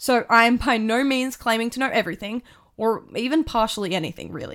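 In a very clean recording with a silent background, a woman with an Australian accent speaks at a fairly quick pace and fairly high pitch. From Australia, Tamworth, New South Wales. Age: 20s. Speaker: podcast host, university student. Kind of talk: casual monologue.

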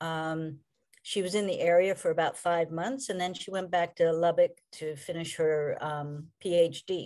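Speaking in an American accent, a woman has a fairly low, dark and mellow voice. Her intonation is fairly even, her pace fairly slow, and the background quiet. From Maryland, US. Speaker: assisted living provider. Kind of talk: interview.

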